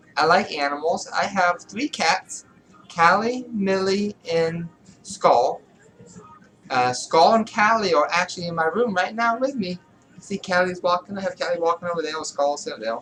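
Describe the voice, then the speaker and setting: With noticeable background noise behind her, a woman speaks at medium pitch and a moderate pace with lively intonation. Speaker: vlogger. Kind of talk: casual vlog monologue. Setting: in bedroom. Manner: speaking a little higher than usual, practising feminine voice.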